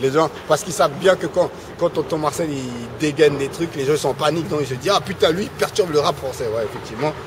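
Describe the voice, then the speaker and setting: The speech runs at a very fast pace against noticeable background noise. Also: man, fairly high pitch for a man, ordinary pitch variation. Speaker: rap web reporter and radio pundit. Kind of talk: casual interview. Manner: halting, many fillers and repetitions.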